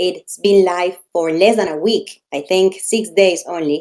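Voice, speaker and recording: A woman speaks fairly slowly in a dark, mellow tone. Her intonation is lively. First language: not English. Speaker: community program organizer. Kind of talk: live online Q&A.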